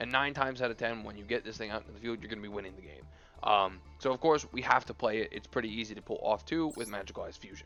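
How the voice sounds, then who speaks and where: Music plays in the background as a man with a medium pitch talks at a very fast pace. His intonation is lively, with big swings in loudness. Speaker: gaming YouTuber. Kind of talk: deck profile commentary. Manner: halting, many fillers.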